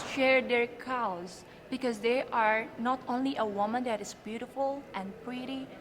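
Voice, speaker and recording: A woman with an Indonesian accent talks at a moderate pace and high pitch, with ordinary pitch variation and noticeable background noise. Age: 20s. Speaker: beauty pageant contestant. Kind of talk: interview.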